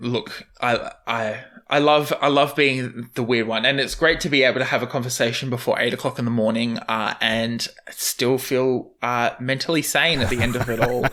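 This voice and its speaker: Hardly pausing, a man speaks in a bright, sharp tone. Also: medium pitch for a man, fairly even intonation, moderate pace. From Australia. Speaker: podcast host. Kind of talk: casual chat.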